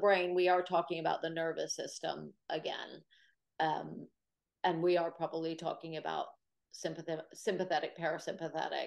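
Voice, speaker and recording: A woman with a normal speaking voice and an American accent talks at a moderate pace and a fairly low pitch. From United States. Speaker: Pilates teacher and sports therapist. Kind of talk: webinar Q&A.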